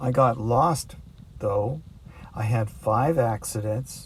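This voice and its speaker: With a normal speaking voice, a man speaks at a fairly slow pace and medium pitch, using ordinary pitch variation. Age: 60s. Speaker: long-distance cyclist. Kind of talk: documentary narration; video diary.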